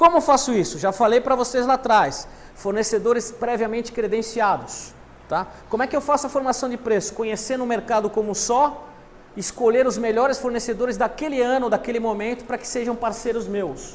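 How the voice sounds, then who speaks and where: A man speaks at a fairly quick pace in an extremely high pitch, his intonation fairly even. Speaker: university lecturer. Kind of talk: lecture.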